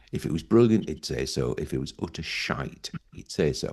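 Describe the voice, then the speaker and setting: A man with a northern English accent speaks at a moderate pace with vocal fry. His pitch swings very widely. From northern England. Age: 50s. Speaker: podcast host. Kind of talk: casual chat.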